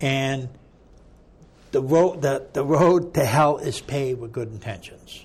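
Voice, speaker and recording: A man with an American accent talks at a fairly slow pace, somewhat breathy, with ordinary pitch variation and long, frequent pauses. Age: 60s. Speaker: ex-prisoner advocate. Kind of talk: interview conversation. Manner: animated.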